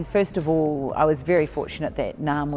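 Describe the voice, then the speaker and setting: A woman with a New Zealand accent speaks at a fairly quick pace in a very deep, low pitch, with fairly even intonation and noticeable background noise. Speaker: netball coach and consultant. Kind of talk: interview.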